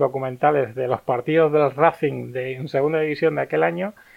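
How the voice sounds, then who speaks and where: Speaking at a fairly quick pace in a plain, everyday voice, a man keeps a fairly high pitch and fairly even intonation. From Andalusia, Spain (Martos, Jaén). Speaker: film critic. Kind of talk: casual chat.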